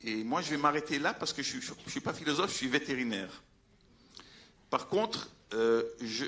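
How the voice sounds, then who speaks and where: Speaking with a Belgian accent, a man uses a fairly high pitch and lively intonation at a moderate pace, broken by long, frequent pauses. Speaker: veterinarian, conference speaker. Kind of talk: conference talk. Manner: halting, many hesitations.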